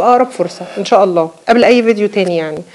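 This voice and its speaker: Noticeable background noise behind a woman, her pitch moving in an ordinary way. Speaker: cooking YouTuber. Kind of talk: casual vlog talk to viewers. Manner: halting, many fillers and restarts.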